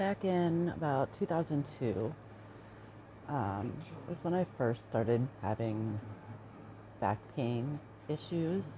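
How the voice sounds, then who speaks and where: A soft-spoken, somewhat breathy woman with a dark, mellow tone, very wide pitch swings, a very slow pace and long, frequent pauses. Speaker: chronic pain patient. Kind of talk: personal testimony. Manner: hesitant with fillers.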